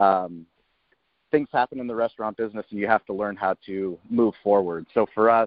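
Fairly low in pitch, a man talks with an American accent at a fairly quick pace. His intonation is fairly even. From US West Coast, San Diego (La Jolla). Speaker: barbecue restaurant owner. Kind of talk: interview.

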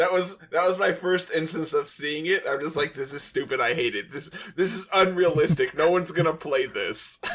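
With an American accent, a man speaks at a high pitch, his intonation fairly even and hardly any pauses between words. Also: moderate pace. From United States. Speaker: podcast host. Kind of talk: casual chat.

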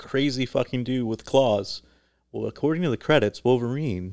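A man speaks at a fairly quick pace, his pitch in the medium range with ordinary variation. It is a plain, everyday voice. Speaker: podcast host. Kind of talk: casual chat.

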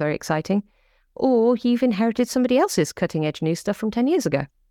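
In an English Midlands accent, a woman talks at a very fast pace with a dark, mellow tone. The sound is dry and close with no echo, and the background is quiet. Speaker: cybersecurity startup founder. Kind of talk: interview conversation. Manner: animated.

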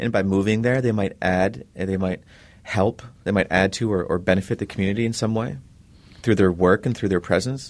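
A man talks in a plain, everyday voice, pitched fairly low. His pace is fairly quick with ordinary pitch variation, over a quiet background. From Minnesota, Leech Lake Reservation. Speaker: author and professor. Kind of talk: interview.

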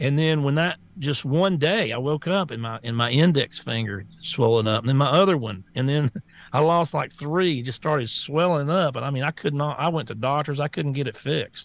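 A man with a strong Southern US accent speaks at a moderate pace and a fairly high pitch. His pitch varies in an ordinary way, and the background is quiet. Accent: strong Southern US twang. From US South. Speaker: talk show co-host and social media personality. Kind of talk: casual talk show chat.

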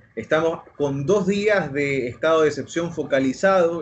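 Delivery is at a fairly slow pace with ordinary pitch variation. There is noticeable background noise. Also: man. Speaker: journalist. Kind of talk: casual chat.

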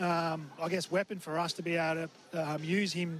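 Over music in the background, a man with an Australian accent speaks in a high pitch with monotone, flat intonation. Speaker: assistant football coach. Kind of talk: interview. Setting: boundary side at the ground.

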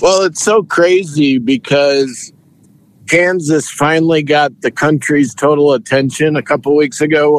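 An unremarkable speaking voice, its pitch variation ordinary. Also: man. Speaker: sportswriter. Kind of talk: casual sports interview.

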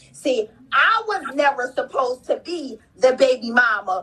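A fairly slow, animated delivery with very wide pitch swings over noticeable background noise. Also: woman. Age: 30s. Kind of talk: testimony.

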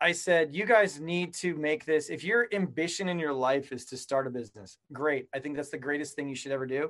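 A man with a normal speaking voice and an American accent talks at a fairly quick pace, fairly high in pitch, with ordinary pitch variation. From Colorado, US. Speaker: entrepreneur. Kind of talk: interview.

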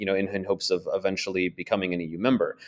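A man speaks with an American accent. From United States. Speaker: journalist and author. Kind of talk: interview. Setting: remote call. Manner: halting, many repetitions and fillers.

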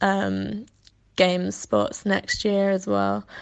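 A woman speaks with a Welsh accent. The background is quiet. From Wales. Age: 20s. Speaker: athlete. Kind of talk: interview.

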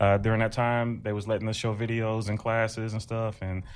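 Speaking very fast with an American accent, a man is heard against a quiet background. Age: 30s. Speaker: stand-up comedian. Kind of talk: casual interview chat.

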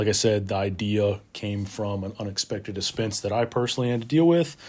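A somewhat breathy man at a fairly low pitch, moderate pace and fairly even intonation, in a very clean recording with a silent background. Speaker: podcast host, public safety worker and Marine veteran. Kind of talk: casual solo monologue. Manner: casual, many filler words.

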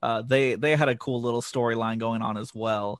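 A man with a plain, everyday voice talks fairly quickly at a medium pitch. The sound is dry and close, with no echo. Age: 30s. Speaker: wrestling vlogger. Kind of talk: casual chat.

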